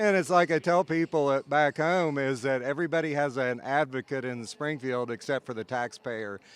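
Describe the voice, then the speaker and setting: A man with an American accent and an ordinary speaking voice talks at a moderate pace with hardly any pauses, in a dry, close sound with no echo. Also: fairly high pitch for a man, ordinary pitch variation. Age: 60s. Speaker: state politician and farmer. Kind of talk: interview. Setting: conference event.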